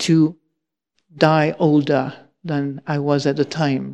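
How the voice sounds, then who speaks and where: A woman's voice has a dark, mellow tone, and the background is quiet. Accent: French. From France. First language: French. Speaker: Buddhist nun and teacher. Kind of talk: dharma talk. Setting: monastery hall with audience.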